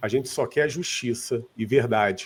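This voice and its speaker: This man's voice has a dark, mellow tone, a somewhat breathy quality and lively intonation. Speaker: seminar speaker on giftedness and IQ. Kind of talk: seminar talk. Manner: informal.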